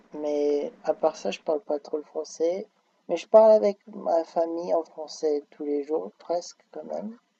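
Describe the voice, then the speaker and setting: A man's fairly high voice with a dark, mellow tone, fairly slow, with big swings in loudness and a dry, close sound with no echo. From France until age 5, then Austin, Texas. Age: 20s. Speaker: university student. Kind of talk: interview. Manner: hesitant with fillers.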